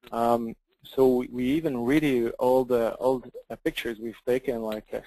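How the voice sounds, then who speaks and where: Dry and close with no echo, a man with a French accent speaks in a dark, mellow tone and fairly even intonation. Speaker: software company representative. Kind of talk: software demo. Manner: halting.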